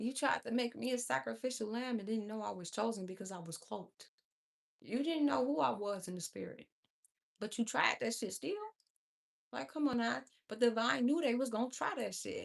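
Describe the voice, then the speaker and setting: A woman speaks with a fairly high pitch. Her pitch swings very widely. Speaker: livestream tarot reader. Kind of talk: livestream chat with viewers. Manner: fast.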